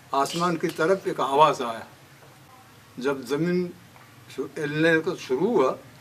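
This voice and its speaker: A man talks with a fairly high pitch and ordinary pitch variation. Noticeable background noise can be heard. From Balochistan, Pakistan. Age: 80s+. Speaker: tsunami eyewitness. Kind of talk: interview answer.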